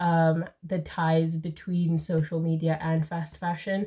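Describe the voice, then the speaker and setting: This woman speaks at a very slow pace in a fairly low, somewhat breathy voice. The recording is very clean, with a silent background. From Zimbabwe. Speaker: YouTuber and book reader. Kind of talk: casual chat.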